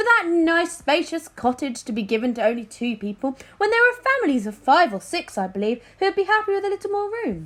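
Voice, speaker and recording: A woman speaks in a put-on character voice, breathy and extremely high-pitched, with very wide pitch swings. She talks at a fairly quick pace with hardly any pauses. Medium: read story. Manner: airy, evasive.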